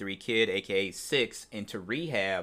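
In a very clean recording with a silent background, a man's voice has a bright, sharp tone. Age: 40s. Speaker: wrestling news podcast host. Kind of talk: solo news commentary podcast. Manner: casual, filler-heavy (um, uh).

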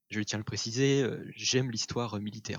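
Flat and monotone in its intonation, the voice keeps to a moderate pace. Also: man. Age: 20s. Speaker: history student and photo colorist. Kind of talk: casual interview. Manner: hesitant, with filler words.

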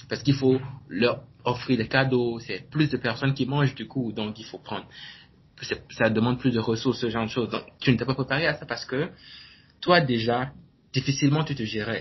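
A man's medium-pitched, somewhat breathy voice at a moderate pace, with fairly even intonation and long, frequent pauses. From Benin. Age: 20s. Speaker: entrepreneur and blogger. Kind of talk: interview. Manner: halting.

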